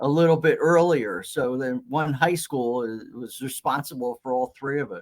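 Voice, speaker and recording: The speaker, with a Philadelphia accent, talks at a moderate pace with hardly any pauses. Pitch varies in an ordinary way. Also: man, fairly high pitch for a man. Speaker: retired TV meteorologist. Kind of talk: podcast interview.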